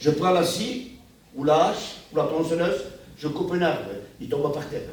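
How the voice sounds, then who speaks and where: Audible room echo and noticeable background noise accompany a man as he talks at a fairly quick pace. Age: 70s. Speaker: pastor. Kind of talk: sermon. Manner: animated.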